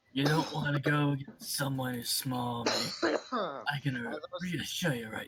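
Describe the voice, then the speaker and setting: Someone puts on a character voice, pitched low-to-middle and delivered at a fairly slow pace. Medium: actual play. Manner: cocky, teasing.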